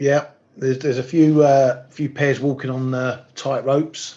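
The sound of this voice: A man speaks slowly at medium pitch with little pitch movement. His voice is raspy, with a dark, mellow tone.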